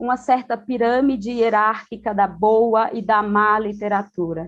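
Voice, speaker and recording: Background sound stays quiet. Delivery unfolds at a very slow pace. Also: woman. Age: 30s. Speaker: educator and panelist. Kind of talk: panel discussion. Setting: video call from home.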